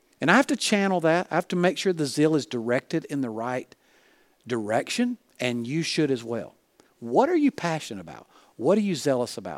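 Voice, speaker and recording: A man with a Southern US accent, fairly high pitch and very wide pitch swings at a fairly quick pace, on a very clean, dry, close recording with a silent background and no echo. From US South (Alabama). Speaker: pastor and leadership coach. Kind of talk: sermon.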